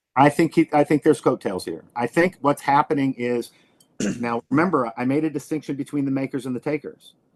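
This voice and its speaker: A man with a normal speaking voice talks at a fairly quick pace. His fairly high pitch shows ordinary variation, and the background is quiet. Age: 60s. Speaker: professor. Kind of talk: casual chat.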